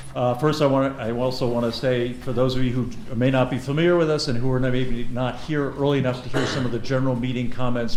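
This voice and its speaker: Over noticeable background noise and audible room echo, a man talks at a fairly quick pace with a medium pitch. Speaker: forum moderator. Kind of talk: event moderation speech. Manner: loud.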